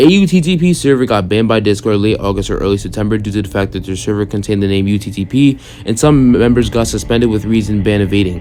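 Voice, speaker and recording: Speech comes at a very fast pace with hardly any pauses and ordinary pitch variation over noticeable background noise. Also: man, fairly low pitch for a man. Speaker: YouTube commentator. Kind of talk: reading a document with commentary. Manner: halting.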